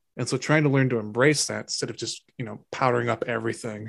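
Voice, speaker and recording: A man speaks at a very fast pace. His voice sits at a medium pitch with vocal fry. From France, outskirts of Paris. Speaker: cinematographer. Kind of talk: interview. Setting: remote call from another person's computer.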